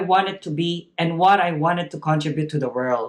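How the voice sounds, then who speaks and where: A high-pitched man with a Filipino accent speaks at a moderate pace. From Philippines. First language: not English (Filipino language). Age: 30s. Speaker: graduate speaker, early childhood educator. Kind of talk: graduation speech. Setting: virtual ceremony, recorded video. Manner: formal.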